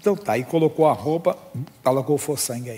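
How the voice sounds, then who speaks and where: An ordinary speaking voice delivers words at a fairly quick pace. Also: man. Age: 60s. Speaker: pastor. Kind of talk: sermon.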